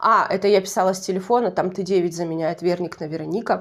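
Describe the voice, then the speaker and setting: A woman speaks in a Russian Far East accent. Her pace is fairly quick. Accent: Russian Far East dialect, persistent. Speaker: YouTube TV show reviewer. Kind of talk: casual video commentary. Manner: conversational, self-correcting.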